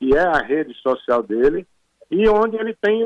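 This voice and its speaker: Recorded dry and close with no echo, a man speaks fairly slowly in a high pitch. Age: 70s. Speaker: retired military officer, association president. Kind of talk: interview. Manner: emphatic, interrupting.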